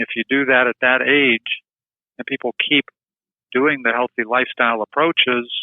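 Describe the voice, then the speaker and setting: A man with a General American accent at medium pitch, moderate pace and fairly even intonation. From Colorado. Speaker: neurologist. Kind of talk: interview.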